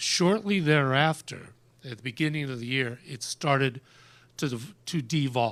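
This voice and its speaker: An unremarkable speaking voice from a man, fairly high in pitch with ordinary pitch variation and a fairly slow pace, in a very clean recording with a silent background. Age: 60s. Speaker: radio host. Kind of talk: testimony.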